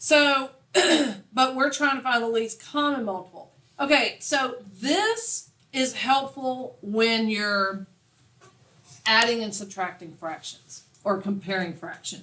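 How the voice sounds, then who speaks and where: A woman speaks loudly at a very slow pace, her fairly high pitch and bright, sharp tone carried by lively intonation and broken by long, frequent pauses. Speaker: math teacher. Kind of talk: classroom lecture. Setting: classroom with students. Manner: clear, easily heard.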